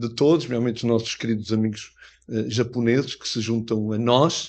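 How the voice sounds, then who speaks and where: This man has a medium pitch and fairly even intonation. He talks at a fairly quick pace against a quiet background. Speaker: mayor. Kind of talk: formal speech at book presentation. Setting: pavilion event with audience, interpreted. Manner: hesitant, many fillers.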